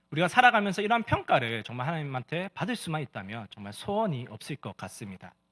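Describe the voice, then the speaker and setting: Bright and sharp in tone, a man with a fairly high voice and vocal fry talks fairly quickly with very wide pitch swings, in a dry, close sound with no echo. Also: very clean recording, silent background. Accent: Gyeongsang. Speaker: pastor. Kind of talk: sermon.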